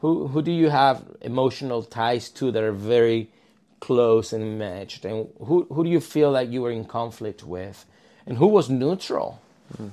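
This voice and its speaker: A man with a Spanish accent speaks at a moderate pace and medium pitch. His tone is dark and mellow, his intonation lively. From southern Spain (Malaga). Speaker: counselor. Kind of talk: casual interview. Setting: office.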